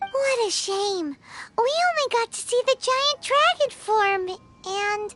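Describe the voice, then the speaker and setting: Over music in the background, a put-on character voice with an extremely high pitch speaks at a fairly slow pace. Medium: video game. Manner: casual, curious.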